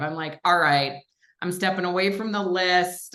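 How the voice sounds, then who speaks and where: Her voice sits fairly low for a woman, and she keeps a moderate pace and fairly even intonation. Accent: Minnesotan. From Minnesota, western suburbs of Minneapolis. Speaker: commercial real estate investor and coach. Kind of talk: casual interview chat. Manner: conversational with many fillers.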